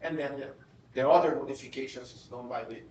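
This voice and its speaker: In a recording with audible room echo and noticeable background noise, a man talks at a fairly quick pace. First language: Portuguese. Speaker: professor. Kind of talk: lecture. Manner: halting, with frequent repetitions.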